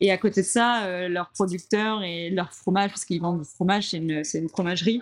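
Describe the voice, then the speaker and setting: A woman speaks at a fairly quick pace. Her medium pitch stays in fairly even intonation. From Normandy, France. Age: 30s. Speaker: coffee shop owner. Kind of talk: interview. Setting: in her coffee shop. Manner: hesitant, many fillers.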